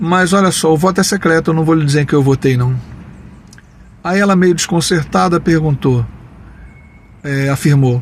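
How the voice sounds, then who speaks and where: This man's pitch sits fairly high and varies in an ordinary way. He talks at a moderate pace. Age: 60s. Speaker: taxi driver sharing opinions. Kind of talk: personal opinion monologue with anecdote.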